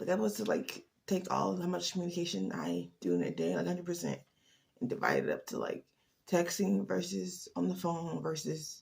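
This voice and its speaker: With vocal fry, a woman's very deep, low voice moves through very wide pitch swings. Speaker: advice vlogger. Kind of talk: casual monologue. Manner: fast.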